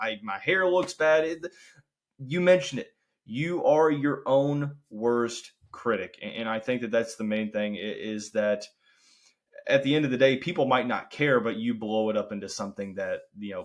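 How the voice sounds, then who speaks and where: A man speaks with a Kentucky accent and lively intonation. The recording is very clean, with a silent background. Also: medium pitch for a man, moderate pace. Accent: country Kentucky. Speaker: podcast host and sales territory manager. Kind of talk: podcast interview.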